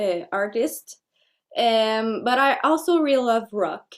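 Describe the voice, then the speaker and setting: A woman speaks at a fairly high pitch, and her pitch varies in an ordinary way. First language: French. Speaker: folk singer. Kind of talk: interview. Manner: halting.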